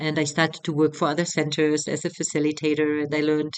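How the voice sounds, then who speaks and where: With a German accent, a woman speaks fairly quickly in a very deep, low voice with monotone, flat intonation. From Germany. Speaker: retreat facilitator. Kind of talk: promotional talk. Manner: halting.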